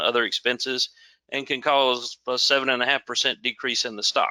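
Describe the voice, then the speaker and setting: A man with a Southern US accent speaks at a medium pitch in a bright, sharp tone, with a dry, close sound and no echo. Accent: southern drawl. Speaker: security manager presenting a webinar. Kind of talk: webinar presentation.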